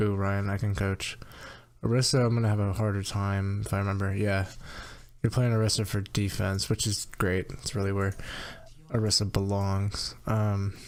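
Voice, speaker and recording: A soft-spoken man talks at a moderate pace. His voice is fairly low, with monotone, flat intonation. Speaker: video game coach. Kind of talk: gameplay review commentary. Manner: rambling, hesitant with many ums.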